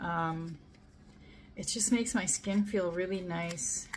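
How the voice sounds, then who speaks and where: A woman talks at a moderate pace in a somewhat breathy voice. Light background noise is present. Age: 50s. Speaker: beauty product reviewer. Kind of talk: casual product review to camera. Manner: casual, hesitant with fillers. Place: home room.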